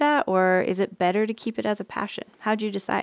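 Spoken at a fairly quick pace in a plain, everyday voice with an American accent, the clip is a very clean recording with a silent background and a dry, close sound with no echo. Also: woman. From Nevada. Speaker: podcast host. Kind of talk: casual interview. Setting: studio.

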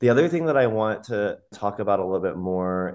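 A man speaks fairly quickly with a fairly low pitch. His is an unremarkable speaking voice. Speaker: podcast co-host. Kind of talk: casual interview chat.

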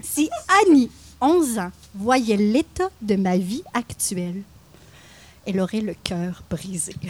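Amid noticeable background noise, a woman speaks very slowly with long, frequent pauses. Her intonation is lively. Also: medium pitch for a woman. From Quebec, Mauricie (Louiseville near Trois-Rivières). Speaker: podcast co-host. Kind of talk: scripted narration; casual chat. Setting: live recording at a market.

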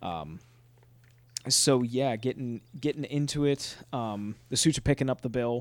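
A man talks in a normal speaking voice at a fairly slow pace, medium in pitch with ordinary pitch variation. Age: 20s. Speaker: podcast host. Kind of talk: casual chat.

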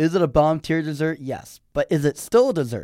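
On a very clean recording with a silent background, a man with a normal speaking voice talks at a moderate pace, fairly high in pitch, with ordinary pitch variation. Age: young. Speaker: college student guest. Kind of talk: casual chat.

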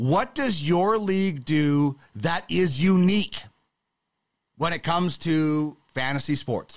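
A man with a Canadian accent, fairly high in pitch, at a very slow pace with lively intonation. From western Canada. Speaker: sports podcast host. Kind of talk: casual chat.

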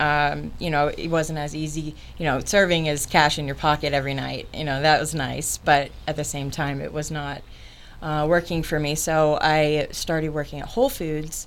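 With an American accent, a woman speaks at a moderate pace in a very deep, low pitch, with vocal fry and monotone, flat intonation. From Florida (Orlando). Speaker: cleaning business owner. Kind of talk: interview. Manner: halting, many fillers.

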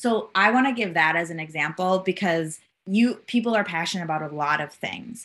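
The speaker has a Minnesotan accent. The pace is fairly quick. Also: woman, medium pitch for a woman, ordinary pitch variation. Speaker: gender justice advocate. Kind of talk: interview.

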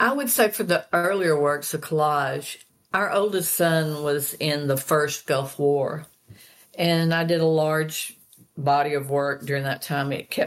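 In an Arkansas accent, the speaker talks fairly slowly with fairly even intonation. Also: woman. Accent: US Southern (Arkansas). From Arkansas (Fayetteville and Hope). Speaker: painter. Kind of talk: interview.

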